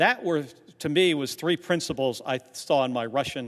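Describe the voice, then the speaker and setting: Against a quiet background, a man is speaking. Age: 60s. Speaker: senator, former astronaut and navy officer. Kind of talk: senate floor speech. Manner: halting.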